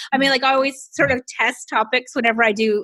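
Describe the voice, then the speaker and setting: A woman with an American accent speaks at a high pitch in an animated, bright and sharp tone. The recording is very clean with a silent background, the sound dry and close with no echo. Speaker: business coach. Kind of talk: casual chat.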